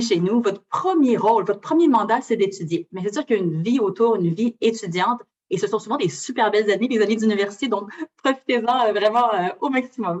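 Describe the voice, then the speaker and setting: The speech races along very fast, its intonation lively. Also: woman. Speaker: university recruitment representative. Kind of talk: presentation to students. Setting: lecture hall with audience.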